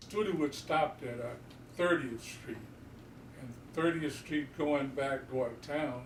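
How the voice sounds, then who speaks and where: Someone with an American accent speaks at a moderate pace with ordinary pitch variation, amid noticeable background noise and audible room echo. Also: man. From Houston, Texas. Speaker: community elder. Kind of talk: oral history interview.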